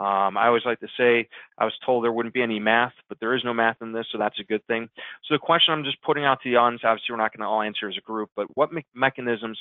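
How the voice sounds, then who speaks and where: Here a man talks at a very fast pace. His pitch is medium with ordinary variation. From US Midwest, Chicago. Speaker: digital marketing consultant. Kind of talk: webinar presentation. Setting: webinar.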